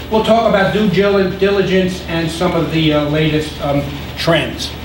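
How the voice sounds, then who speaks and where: With noticeable background noise and audible room echo, a man speaks at a high pitch and a fairly slow pace. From New York City (Brooklyn). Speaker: business consultant. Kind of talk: lecture. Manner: halting, many repetitions and fillers.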